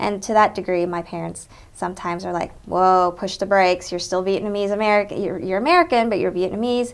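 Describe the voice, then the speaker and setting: In a Southern US accent, a woman speaks at medium pitch with fairly even intonation. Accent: Southern twang. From Texas. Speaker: interviewee, Vietnamese American professional. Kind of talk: oral history interview. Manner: conversational, frequent fillers.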